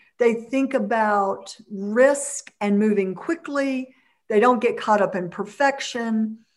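Very slow speech from a woman, her pitch fairly high and its variation ordinary. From US South, Mississippi. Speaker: entrepreneur and community leader. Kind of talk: interview.

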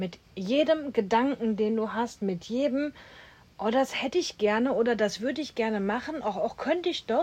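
With a normal speaking voice, a woman talks at a moderate pace and a fairly high pitch, her intonation lively. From Germany, Duisburg (Ruhr area). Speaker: podcast host, coach. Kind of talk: casual chat.

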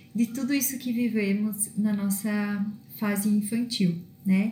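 With fairly even intonation and a fairly high pitch, a woman speaks at a very slow pace amid audible room echo. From southern Brazil (northern Rio Grande do Sul). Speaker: self-development coach. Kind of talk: monologue vlog. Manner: halting with fillers.

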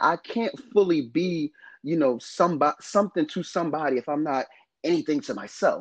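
A high-pitched man with an American accent, lively intonation and a fairly quick pace, recorded dry and close with no echo. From northern New Jersey, US. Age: 30s. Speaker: podcast co-host. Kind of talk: casual chat.

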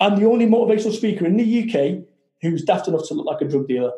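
Speaking at a very fast pace, a man with a Manchester accent has a high pitch and a dark, mellow tone. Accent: Mancunian northern English. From Salford, Manchester, northern England. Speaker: motivational speaker and business founder. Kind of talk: interview. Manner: animated.

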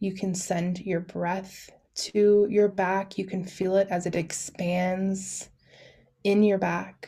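Very slowly and at a medium pitch, a woman speaks in a soothing, dark, mellow tone with monotone, flat intonation. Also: very clean recording, silent background. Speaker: doula and podcast host. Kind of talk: guided meditation; casual solo podcast talk. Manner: soft, slow, soothing.

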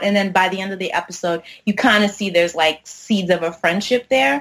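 Speaking at a fairly quick pace, a woman uses a normal speaking voice at medium pitch. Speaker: film and TV critic. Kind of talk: casual chat.

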